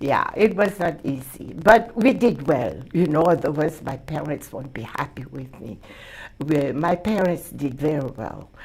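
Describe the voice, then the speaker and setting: A woman with a very deep, low voice talks at a fairly slow pace, her intonation lively, her loudness swinging widely, and her tone somewhat breathy. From Mauritius. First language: Hakka. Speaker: community leader and award recipient. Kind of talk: interview.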